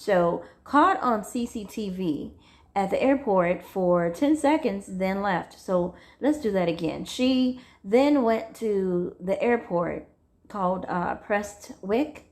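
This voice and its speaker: A woman speaks at a medium pitch with lively intonation. Her pace is very slow against a quiet background. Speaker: true crime storyteller. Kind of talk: casual true crime storytelling. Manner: loud, carrying voice; halting, many fillers.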